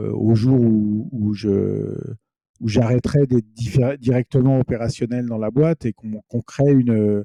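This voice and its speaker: A man talks at a fairly slow pace with medium pitch and fairly even intonation. His tone is dark and mellow, and the sound is dry and close with no echo. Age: 50s. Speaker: company founder. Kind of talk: interview. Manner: halting, many hesitations and repetitions.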